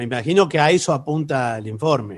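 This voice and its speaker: A man speaks with very wide swings in pitch. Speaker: radio co-host and comedian. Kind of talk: comedic radio banter. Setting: remote broadcast from home.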